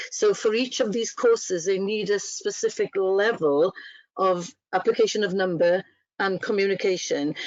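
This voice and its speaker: This woman has a medium pitch and speaks with a Welsh accent. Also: ordinary pitch variation, moderate pace. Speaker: training officer. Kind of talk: webinar guest talk.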